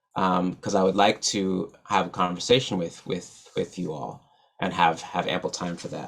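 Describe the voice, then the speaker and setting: This man has a very deep, low pitch and an American accent. His pace is moderate. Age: 30s. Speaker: musician and poet, keynote speaker. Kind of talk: keynote talk. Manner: stutters; many repetitions and fillers.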